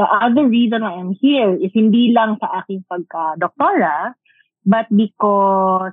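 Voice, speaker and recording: Speaking at a fairly slow pace, a woman with a Filipino accent uses ordinary pitch variation. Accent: Filipino English with Tagalog code-switching. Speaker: doctor specializing in women's health. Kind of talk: casual chat.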